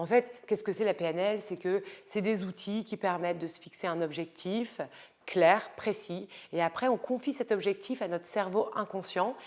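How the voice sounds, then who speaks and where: Speaking at a fairly slow pace, a woman uses a medium pitch with ordinary pitch variation. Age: 30s. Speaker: lifestyle and style coach vlogger. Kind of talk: casual vlog book recommendations. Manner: hesitant, many fillers.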